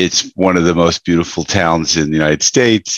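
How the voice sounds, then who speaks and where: A man's voice with an American accent in a dry, close sound with no echo. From US Northeast, Westchester New York. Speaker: business coach and author. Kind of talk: interview.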